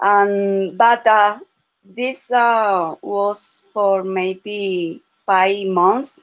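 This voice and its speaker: With a Spanish accent, a woman speaks at a very slow pace in a medium-pitched voice. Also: fairly even intonation. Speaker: language student. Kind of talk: casual chat. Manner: halting.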